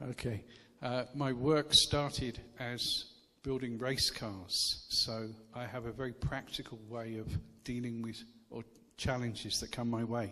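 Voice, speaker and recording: A man speaks with an English accent at a fairly slow pace. His intonation is monotone and flat. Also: medium pitch for a man. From England. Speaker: charity worker, visiting missionary speaker. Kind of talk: church talk with consecutive interpretation. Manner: short phrases with pauses for interpreter.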